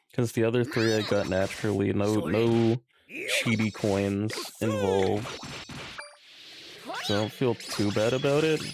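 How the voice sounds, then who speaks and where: Over noticeable background noise, a man with a fairly low pitch speaks at a fairly slow pace with long, frequent pauses, keeping his loudness very even and his intonation fairly even. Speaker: gaming streamer. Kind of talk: live stream commentary. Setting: live stream.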